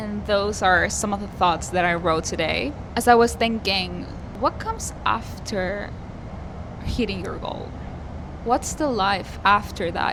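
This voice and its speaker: A woman speaks with a Spanish accent at a medium pitch and a fairly slow pace. Audible room echo and noticeable background noise surround her voice. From Argentina. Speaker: singer-songwriter vlogger. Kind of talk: personal vlog monologue.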